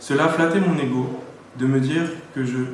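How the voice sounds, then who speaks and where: The voice moves at a fairly quick pace with fairly even intonation, heard through audible room echo and noticeable background noise. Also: man. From Paris region, France. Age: 30s. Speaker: church member giving baptism testimony. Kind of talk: testimony read aloud.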